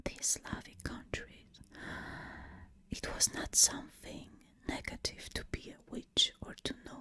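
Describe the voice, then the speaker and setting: A woman whispering at a very slow pace, with long, frequent pauses and noticeable background noise. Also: big swings in loudness. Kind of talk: ASMR whispered educational narration. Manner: whispered, soft.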